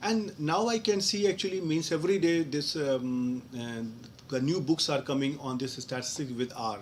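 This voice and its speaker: With an Indian accent, a man talks at a moderate pace, his pitch varying in an ordinary way. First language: Hindi. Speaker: professor. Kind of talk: live online Q&A lecture. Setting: online live session. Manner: halting, with many fillers.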